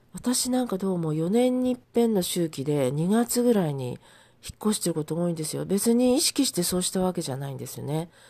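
At a fairly quick pace, a woman speaks in a dark, mellow tone at a medium pitch, with very wide pitch swings. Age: 70s. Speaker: podcaster and mental support counselor. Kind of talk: casual solo monologue.

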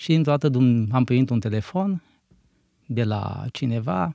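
The recording is very clean, dry and close with no echo and a silent background. A man with a medium pitch and a dark, mellow tone speaks at a fairly slow pace with lively intonation. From Romania, Maramureș region. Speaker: church minister and bakery manager. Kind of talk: interview.

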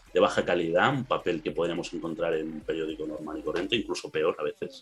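A man is speaking. He has a Castilian accent. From Spain. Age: 20s. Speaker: anime fan guest. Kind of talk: casual chat.

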